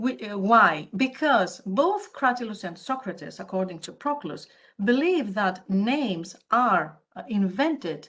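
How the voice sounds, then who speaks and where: With a Greek accent, a woman speaks at a fairly slow pace using lively intonation. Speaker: academic conference speaker. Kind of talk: conference paper presentation.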